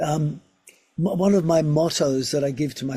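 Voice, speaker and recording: A man's somewhat breathy, fairly high voice with a dark, mellow tone, ordinary pitch variation and a moderate pace. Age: 60s. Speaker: physiotherapist and research scientist. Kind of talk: interview.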